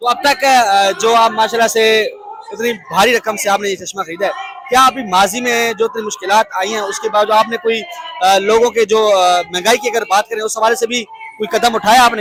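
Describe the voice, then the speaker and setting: A man speaks at a high pitch with ordinary pitch variation. Noticeable background noise can be heard. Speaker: street news reporter. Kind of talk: on-location news interview. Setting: outdoors.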